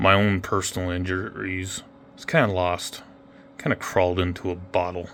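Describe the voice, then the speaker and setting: A man with an American accent and a very deep, low pitch. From Oregon. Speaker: model railroader, army veteran. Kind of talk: guided tour narration. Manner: occasional stutters, word-finding pauses.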